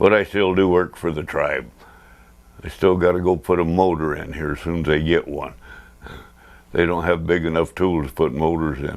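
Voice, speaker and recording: A man's very deep, low voice with an American accent, fairly even intonation and long, frequent pauses. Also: moderate pace. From Nevada, Ely area. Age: 70s. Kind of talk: oral history interview.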